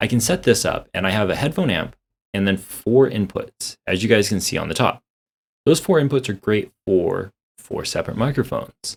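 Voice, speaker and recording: This is a very clean recording with a silent background, dry and close with no echo. A man speaks at a moderate pace with lively intonation. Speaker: audio/streaming content creator. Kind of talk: tutorial. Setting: home desk recording setup. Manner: casual, halting.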